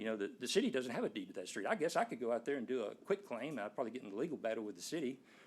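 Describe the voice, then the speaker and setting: Swinging very widely in pitch around a medium level, a man talks with an East Texas accent. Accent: East Texas Southern US. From Nacogdoches, East Texas. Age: 60s. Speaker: resident speaking at a zoning board hearing. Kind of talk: public comment at a city board meeting. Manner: conversational, explanatory.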